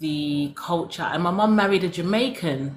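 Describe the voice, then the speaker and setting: A woman's somewhat breathy voice with a London accent, fairly low in pitch. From London, England. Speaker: former cosmetic science consultant, soap-making teacher. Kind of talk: casual interview chat.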